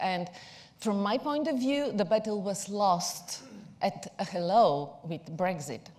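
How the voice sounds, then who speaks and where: In a Bulgarian accent, a woman speaks with a somewhat breathy voice. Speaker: PR agency executive. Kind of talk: conference talk.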